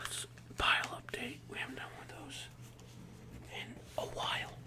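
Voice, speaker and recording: A whisper moves at a moderate pace against noticeable background noise. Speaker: ASMR creator. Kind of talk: ASMR card unboxing. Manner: whispering.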